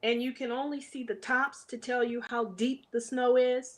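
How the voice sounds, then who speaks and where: Animated in tone, a woman talks at a fairly slow pace in a high pitch. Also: quiet background. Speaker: adventure traveler sharing her story. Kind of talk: casual interview storytelling.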